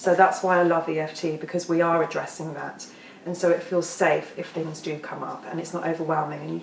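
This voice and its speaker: A woman's fairly low voice, fairly quick in pace, with monotone, flat intonation. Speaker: EFT tapping practitioner. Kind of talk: workshop talk. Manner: fast.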